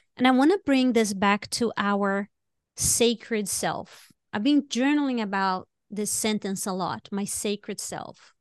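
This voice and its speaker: A woman with a non-native accent speaks fairly slowly, her voice fairly high with ordinary pitch variation. The background is quiet and the sound is dry and close with no echo. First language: not English. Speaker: podcast co-host. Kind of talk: casual chat. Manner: animated.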